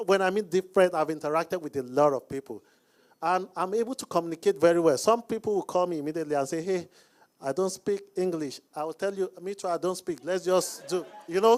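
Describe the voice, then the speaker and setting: In a Nigerian accent, the speaker talks very fast with ordinary pitch variation on a very clean recording with a silent background. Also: man, high pitch for a man. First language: not English; speaks Hausa, Yoruba. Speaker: business coach. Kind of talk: Q&A panel talk.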